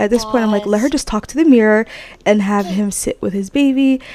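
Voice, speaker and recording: Noticeable background noise behind a woman's fairly high voice. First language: not English. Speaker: gaming YouTuber. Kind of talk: let's play commentary. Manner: casual, chatty.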